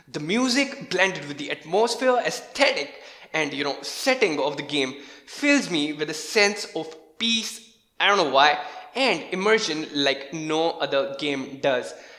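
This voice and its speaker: With a non-native accent and an animated tone, a man speaks at a fairly slow pace and fairly high pitch, with lively intonation and noticeable background noise. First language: not English. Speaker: gaming YouTuber. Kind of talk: video commentary. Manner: casual, animated.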